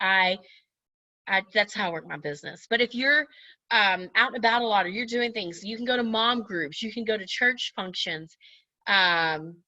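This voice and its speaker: A woman's loud, bright, sharp voice at a medium pitch, with ordinary pitch variation and a moderate pace. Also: quiet background. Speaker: direct sales team leader. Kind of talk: training talk to her sales team. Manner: casual, chatty.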